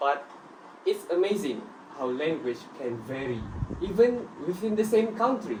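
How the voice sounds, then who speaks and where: With very wide pitch swings, a high-pitched man speaks at a fairly slow pace with long, frequent pauses, against noticeable background noise and audible room echo. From Malaysia, Sabah (Tuaran). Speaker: student. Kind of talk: scripted group discussion.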